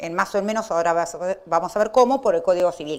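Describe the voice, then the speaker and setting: In a very clean recording with a silent background, a woman's pitch swings very widely. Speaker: law professor. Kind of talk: lecture. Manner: fast.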